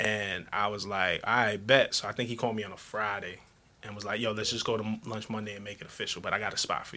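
A man with a New York accent and a bright, sharp tone, fairly low-pitched, at a fairly quick pace. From Flatbush, Brooklyn, New York. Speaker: hip hop journalist. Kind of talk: casual chat.

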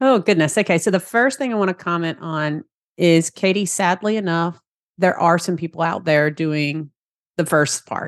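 Recorded with a dry, close sound and no echo, a woman with a Southern US accent speaks at a moderate pace in a fairly low pitch with ordinary pitch variation. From US South, Georgia. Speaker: faith-based practice consultant and therapist. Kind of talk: casual interview chat.

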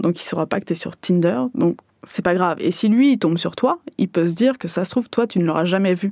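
Lively in intonation and fairly quick, a woman's fairly low-pitched voice has a dark, mellow tone. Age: 30s. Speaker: Tinder user sharing experience. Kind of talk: casual chat. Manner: halting.

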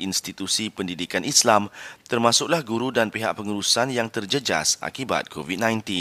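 The recording is very clean, with a silent background and a dry, close sound with no echo. A man speaks at a moderate pace in a bright, sharp tone with ordinary pitch variation. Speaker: news presenter. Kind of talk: news reading. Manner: formal.

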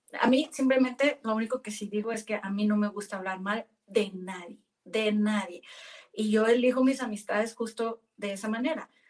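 A woman speaks in a fairly high pitch with fairly even intonation. Her voice is somewhat breathy, at a moderate pace. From Mexico, Sinaloa. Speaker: sales manager. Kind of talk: interview.

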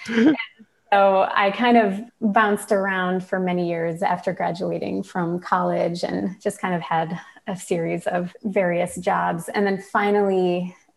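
A woman with a Midwestern US accent talks fairly slowly at a medium pitch, her intonation fairly even. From Michigan. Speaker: design consultant and founder, autoimmune patient. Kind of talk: casual interview chat.

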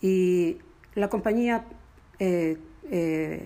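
Her dark, mellow tone sits at a medium pitch as the woman speaks with ordinary pitch variation. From Nicaragua. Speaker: retired entertainment company employee. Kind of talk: interview.

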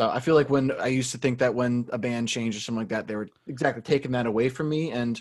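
This man talks at a very fast pace, his voice at a medium pitch with ordinary pitch variation. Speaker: band singer. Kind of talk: casual chat. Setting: video call.

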